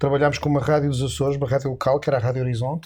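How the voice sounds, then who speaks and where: A man speaks with a European Portuguese accent in a somewhat breathy voice. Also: very clean recording, silent background. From Portugal. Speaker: Portuguese-born radio and TV announcer, immigrant guest. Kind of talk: interview answer, telling stories from radio career.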